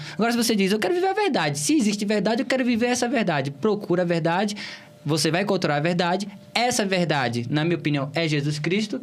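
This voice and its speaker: Over background music and audible room echo, a man with a Bahian accent talks at a very fast pace in a high pitch, with lively intonation and very even loudness. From Bahia, Brazil (Cícero Dantas, interior). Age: young. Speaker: political candidate. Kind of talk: interview.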